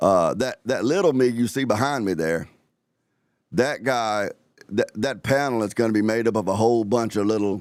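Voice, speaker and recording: A man with an Alabama accent speaks at a moderate pace on a very clean recording with a silent background. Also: medium pitch for a man, ordinary pitch variation. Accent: Southern US (Alabama). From US South, Alabama. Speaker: live-stream host. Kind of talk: casual live-stream chat. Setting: live stream.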